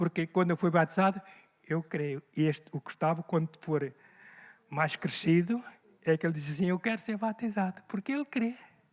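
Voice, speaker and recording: A man's high-pitched voice comes at a moderate pace with ordinary pitch variation in a dry, close sound with no echo. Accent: European Portuguese. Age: 70s. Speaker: pastor. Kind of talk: sermon. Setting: church. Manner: animated.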